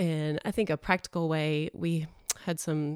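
A woman with a Texan accent speaks at a fairly low pitch, with a dry, close sound and no echo. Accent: Texan, noticeable. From Texas. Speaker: preschool teacher. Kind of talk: podcast interview.

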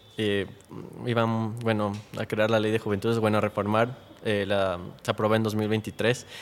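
This man's voice sits at a medium pitch. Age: 20s. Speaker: youth activist. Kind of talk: interview.

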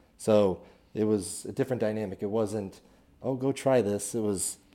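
A man's fairly low-pitched voice in a Midwestern American accent, dark and mellow in tone, at a moderate pace with fairly even intonation, on a very clean recording with a silent background. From Kansas City area, Missouri. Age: 30s. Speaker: business owner, CEO. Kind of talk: casual interview. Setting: studio.

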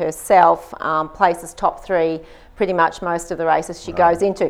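Talking at a moderate pace, a woman with an Australian accent keeps a fairly low pitch and fairly even intonation. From Australia, Queensland Gold Coast. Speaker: gym co-owner and personal trainer. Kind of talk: interview.

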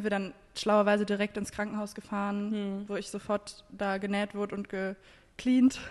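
Speaking at a moderate pace, a woman holds a medium pitch in a flat, monotone delivery. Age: 20s. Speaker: podcast host. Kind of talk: casual chat.

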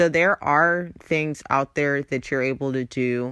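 Speaking very slowly in an American accent, a woman has a very deep, low pitch, an upbeat tone and ordinary pitch variation. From Los Angeles, US West Coast. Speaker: podcast host. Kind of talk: casual solo podcast monologue. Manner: casual, chatty, upbeat.

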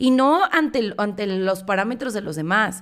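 In a Mexican accent, a woman speaks at a medium pitch with an animated tone. The recording is very clean, with a silent background. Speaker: podcast host. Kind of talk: motivational monologue.

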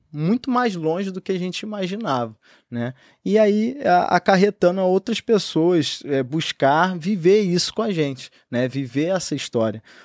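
Recorded very cleanly with a silent background and a dry, close sound with no echo, a man speaks at a fairly slow pace with lively intonation and a high pitch. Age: 20s. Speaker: entrepreneur. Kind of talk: podcast interview.

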